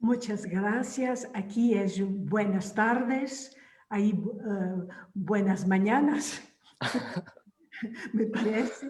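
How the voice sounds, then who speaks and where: In a Portuguese accent, a woman with a fairly high pitch speaks at a very slow pace with long, frequent pauses, ordinary pitch variation and very even loudness, amid audible room echo. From Portugal, Algarve. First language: Portuguese (speaking Spanish). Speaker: novelist. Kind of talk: panel discussion.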